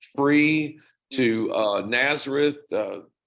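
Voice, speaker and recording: A Southern US accent with ordinary pitch variation. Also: man. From US South. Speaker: rock band singer. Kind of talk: interview.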